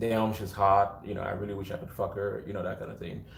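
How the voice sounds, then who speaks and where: A somewhat breathy voice with audible room echo around it. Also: man. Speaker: tarot reader. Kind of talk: tarot reading. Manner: projecting. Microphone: no mic on.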